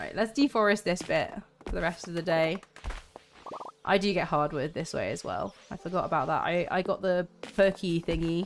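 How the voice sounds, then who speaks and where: A woman talks at a fairly low pitch with ordinary pitch variation. Background noise is noticeable. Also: moderate pace. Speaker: gaming streamer. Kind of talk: live gameplay stream chat. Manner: animated, chatty.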